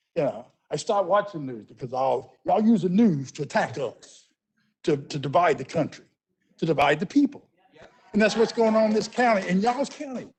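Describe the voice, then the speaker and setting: A man's high voice in a Memphis accent, with very wide pitch swings and long, frequent pauses. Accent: Southern US (Memphis). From US South. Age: 60s. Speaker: business owner, public commenter. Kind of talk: public comment at council meeting. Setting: council meeting. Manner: halting, repeating words.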